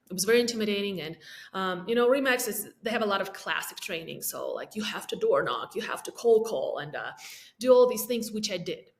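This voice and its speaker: A woman's fairly high, somewhat breathy voice with an Eastern European accent, at a fairly quick pace. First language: not English (English is third language). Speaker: realtor. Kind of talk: podcast interview.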